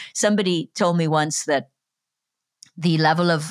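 Someone with a Welsh accent speaks at a moderate pace with fairly even intonation. The recording is very clean with a silent background, its sound dry and close with no echo. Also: woman. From Wales. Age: 50s. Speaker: podcast host. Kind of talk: interview.

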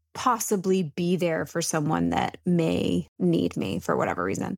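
An unremarkable speaking voice talks at a fairly slow pace. The recording is very clean, with a silent background. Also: woman. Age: 30s. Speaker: podcast co-host. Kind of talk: casual chat.

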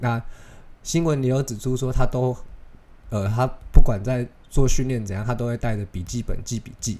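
A man speaks at medium pitch with a dark, mellow tone. His pitch variation is ordinary. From Taiwan. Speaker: podcast host. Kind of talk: casual solo podcast talk.

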